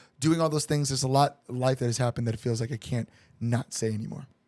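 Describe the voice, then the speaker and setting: A man talks with an American accent. His intonation is fairly even. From Chicago. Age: 30s. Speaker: band singer-songwriter. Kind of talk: podcast interview. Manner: casual, halting with fillers.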